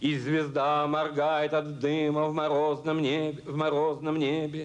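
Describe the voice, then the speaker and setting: At a very slow pace, a man talks in a monotone, flat intonation with a fairly high pitch. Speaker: poet reading his own poem. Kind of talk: poetry reading. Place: stage. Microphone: podium.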